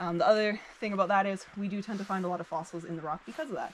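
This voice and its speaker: A woman at a very fast pace with fairly even intonation amid light background noise. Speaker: cave tour guide. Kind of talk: guided tour explanation. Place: forest. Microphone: camera far.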